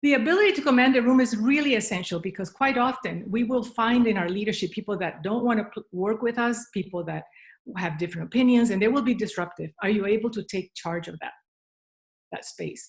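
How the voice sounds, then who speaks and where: A woman's somewhat breathy, fairly high voice in a Spanish accent, with ordinary pitch variation at a fairly quick pace. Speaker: leadership speaker. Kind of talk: keynote talk. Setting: video call, standing up.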